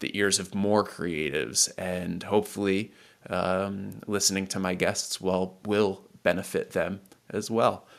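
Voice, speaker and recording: A man's fairly low, mumbling voice at a fairly slow pace, in a very clean recording with a silent background. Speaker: podcast host. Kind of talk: scripted intro; casual interview chat. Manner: slightly mumbled; halting.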